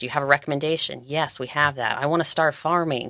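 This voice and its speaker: A woman with an American accent talks at a fairly quick pace in a bright, sharp tone, recorded dry and close with no echo on a very clean recording with a silent background. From Georgia, US South. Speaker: farm organization director and farmer. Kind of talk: podcast interview.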